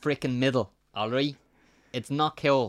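A medium-pitched man in a Dublin accent, dry and close with no echo, on a very clean recording with a silent background. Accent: Dublin Irish. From South Dublin, Ireland. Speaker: podcast co-host with one eye. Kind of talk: casual chat.

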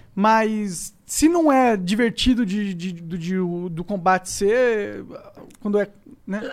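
This man talks at a very slow pace in a high pitch. His pitch variation is ordinary. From São Paulo. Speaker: podcast host. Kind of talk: casual chat.

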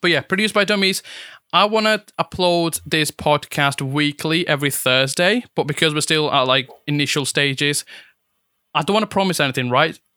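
Fairly high in pitch, a man talks at a moderate pace in a bright, sharp tone. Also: ordinary pitch variation, very even loudness, dry, close sound with no echo. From Italy. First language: Italian. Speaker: amateur photographer, podcast co-host. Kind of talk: casual chat. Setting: video call. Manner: halting.

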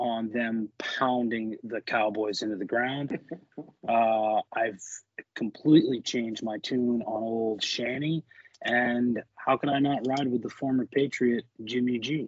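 A man with a plain, everyday voice speaks fairly slowly at a medium pitch, with ordinary pitch variation. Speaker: sports bettor, office pool winner. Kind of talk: casual chat. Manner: rambling, filler-heavy with frequent uh and um.

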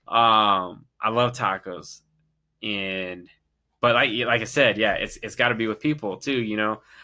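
The recording is very clean, with a silent background. A man with a fairly low pitch speaks in a bright, sharp tone with fairly even intonation. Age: 20s. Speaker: podcast guest and father. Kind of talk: casual chat.

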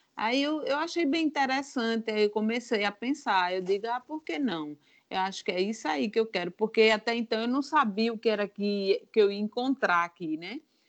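A woman in an ordinary speaking voice talks at a moderate pace with fairly high pitch, lively intonation, and hardly any pauses, the sound dry and close with no echo against a quiet background. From Brazil, Northeast (Alagoas). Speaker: former lawyer turned baker. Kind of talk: testimony.

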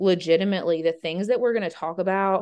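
A woman with an American accent speaks in a normal speaking voice at a moderate pace. Her pitch sits in the medium range and varies in an ordinary way. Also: quiet background. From Georgia, US. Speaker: podcast co-host. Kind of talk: casual chat.

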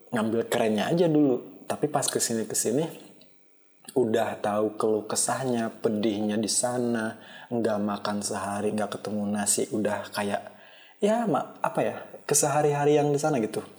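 Medium pitch from a male speaker, ordinary rise and fall in pitch, delivered at a moderate speed. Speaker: solo podcaster. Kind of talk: casual monologue. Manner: halting. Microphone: poor-quality microphone.

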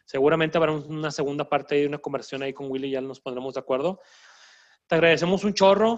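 Speech comes at a very fast pace. Pitch variation is ordinary. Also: man, fairly high pitch for a man. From Mexico, northern border region. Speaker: doctor and podcast host. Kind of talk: casual chat.

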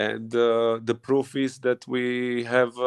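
At a medium pitch, a man talks with monotone, flat intonation. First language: not English. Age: young. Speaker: professional footballer, centre back. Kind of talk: interview.

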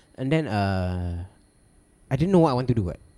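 A man speaks at a fairly slow pace in a dark, mellow tone. His pitch swings very widely, and the sound is dry and close with no echo. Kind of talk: casual chat. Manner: joking, playful.

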